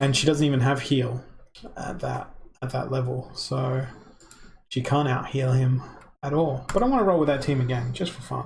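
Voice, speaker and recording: Somewhat breathy and medium in pitch, a man talks with an Australian accent at a moderate pace. His intonation stays fairly even, broken by long, frequent pauses. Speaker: gamer streamer. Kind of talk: gameplay live stream commentary.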